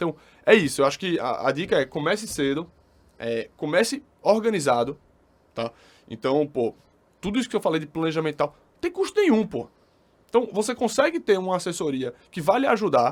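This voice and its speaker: A man's high-pitched voice at a fairly quick pace, with very wide pitch swings, big swings in loudness, and long, frequent pauses. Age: 30s. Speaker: financial planning advisor. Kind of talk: casual podcast interview. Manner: fast.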